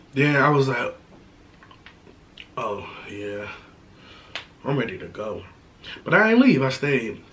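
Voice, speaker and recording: A man with a fairly high pitch speaks at a fairly slow pace, with lively intonation, big swings in loudness, and long, frequent pauses. Room echo is audible and background noise is noticeable. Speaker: YouTuber, mukbang creator. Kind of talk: casual chat while eating, Q&A.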